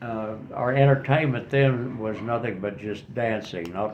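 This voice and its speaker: A man speaks at a fairly slow pace with ordinary pitch variation. Audible room echo and noticeable background noise are present. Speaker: retiree interviewed for a class project. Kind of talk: interview. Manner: halting.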